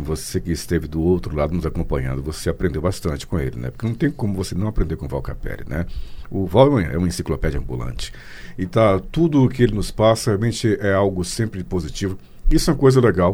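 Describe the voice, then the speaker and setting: At a very fast pace, a man with a very deep, low pitch and a dark, mellow tone swings his pitch very widely, with vocal fry. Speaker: radio host. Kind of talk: casual interview.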